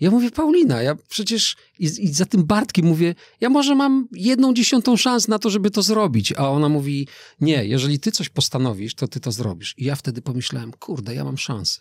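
The speaker moves at a fairly quick pace with very wide pitch swings, in a dry sound with no echo against a quiet background. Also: man, fairly high pitch for a man. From Poland, Lower Silesia. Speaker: skydiver and motivational speaker; motivational speaker. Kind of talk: interview conversation. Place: studio. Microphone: studio mic.

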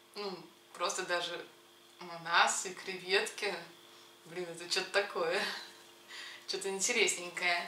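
The speech moves at a very slow pace in a monotone, flat intonation, with long, frequent pauses, audible room echo and light background noise. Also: woman. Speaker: food vlogger. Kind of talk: casual vlog chat. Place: kitchen. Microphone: camera far.

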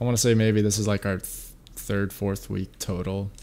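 A man speaks at a moderate pace and a fairly low pitch. Noticeable background noise sits behind him. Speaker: streamer. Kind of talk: casual gamer slang. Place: home room. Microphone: headset.

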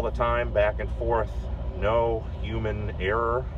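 The voice is flat and monotone, set in a dry sound with no echo over noticeable background noise. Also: man. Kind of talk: commentary. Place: farm machine. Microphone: phone near.

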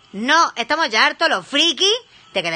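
A woman talks in an animated tone with a high pitch. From Spain. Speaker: streamer and criminologist; live streamer. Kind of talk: casual live stream reaction; casual live stream chat. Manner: halting. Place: home room. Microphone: phone near.

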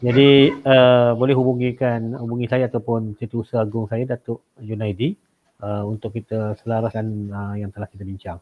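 A plain, everyday voice from a man, medium in pitch, at a moderate pace, with fairly even intonation and big swings in loudness. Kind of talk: webinar discussion. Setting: video call. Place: home room. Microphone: video call.

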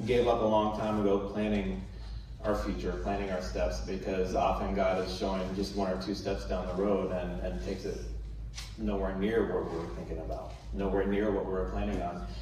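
Audible room echo and light background noise surround a man talking at a moderate pace. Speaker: guest. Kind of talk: sermon. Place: church.

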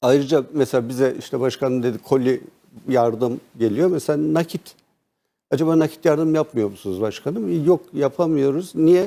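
A man speaks at a moderate pace, his fairly high voice carrying a dark, mellow tone. His pitch shows ordinary variation. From Turkey, Karaman. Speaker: provincial party chairman. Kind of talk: TV interview.

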